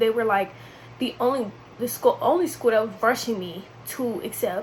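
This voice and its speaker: Fairly quick speech from a woman, her pitch fairly high, amid noticeable background noise. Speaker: vlogger. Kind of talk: casual chat. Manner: casual, chatty.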